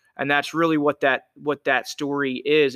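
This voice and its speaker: A man with an American accent and a fairly high pitch speaks at a moderate pace. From southeastern Pennsylvania. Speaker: nonprofit founder in addiction recovery. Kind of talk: casual interview. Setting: CrossFit gym, face to face.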